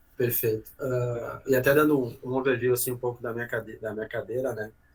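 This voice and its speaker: A man with a medium-pitched, somewhat breathy voice speaks at a fairly quick pace. His intonation is monotone and flat. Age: 30s. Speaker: logistics executive. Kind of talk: podcast interview.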